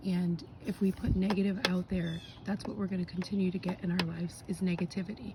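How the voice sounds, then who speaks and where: Hardly pausing, a woman talks at a fairly quick pace and medium pitch with fairly even intonation, over noticeable background noise. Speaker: spiritual card reader. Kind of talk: casual talk to camera. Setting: outdoors.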